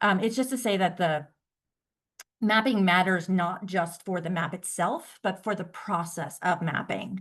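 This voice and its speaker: A woman with an unremarkable speaking voice talks at a fairly slow pace and medium pitch, with ordinary pitch variation over a quiet background. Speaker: workshop presenter. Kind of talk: presentation.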